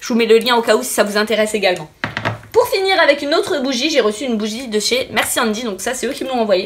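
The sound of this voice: A woman talks fast in a fairly high pitch with a fairly bright tone.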